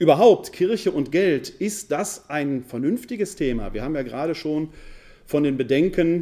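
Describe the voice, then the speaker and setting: Speaking with a Ruhr accent at a fairly slow pace, a man uses lively intonation and a dark, mellow tone at a fairly high pitch, in a very clean recording with a silent background. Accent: Ruhr area German. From Ruhr area, Essen. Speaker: New Testament scholar and pastoral worker. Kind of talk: lecture. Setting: lecture hall with audience.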